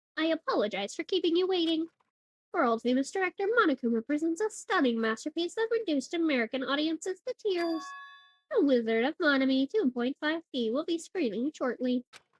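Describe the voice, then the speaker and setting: A woman's high-pitched, put-on character voice. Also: fairly quick pace. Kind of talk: game dialogue read aloud. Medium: virtual streamer. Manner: theatrical.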